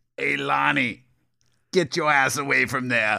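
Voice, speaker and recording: A man's put-on, raspy character voice, medium in pitch, at a fairly slow pace. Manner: imitating a dubbed-movie voice.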